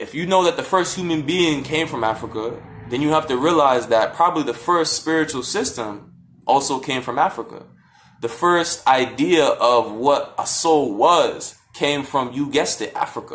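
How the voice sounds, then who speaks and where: This man uses a normal speaking voice, fairly high in pitch, with ordinary pitch variation and a moderate pace. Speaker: vlogger on african spirituality. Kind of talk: casual talk from a live stream. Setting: social media live video.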